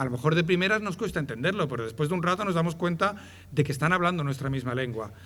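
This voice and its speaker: A man with a Madrid accent, fairly high in pitch and lively in intonation, with audible room echo. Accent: Madrid neighbourhood. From Madrid, Spain. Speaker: ethnographer of traditional dress. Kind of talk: public lecture. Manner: hesitant, repeats words.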